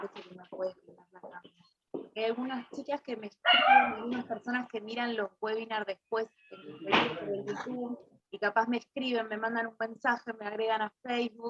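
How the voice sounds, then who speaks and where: A woman with an unremarkable speaking voice and a fairly high pitch talks at a moderate pace with ordinary pitch variation and big swings in loudness, in a dry, close sound with no echo. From Argentina, Buenos Aires west (Coronado). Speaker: Bach flower therapist and teacher. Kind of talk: webinar presentation.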